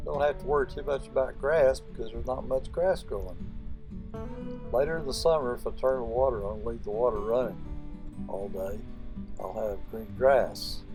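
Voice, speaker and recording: A man talks at a medium speed with music going in the background. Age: old. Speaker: home gardener. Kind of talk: casual talk to camera. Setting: outdoors. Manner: rambling, conversational.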